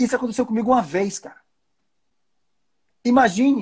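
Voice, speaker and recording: With a northeastern Brazilian accent, a man speaks at a moderate pace in an animated tone on a very clean recording with a silent background. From Brazilian Northeast. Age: 40s. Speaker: livestream host. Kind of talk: casual chat.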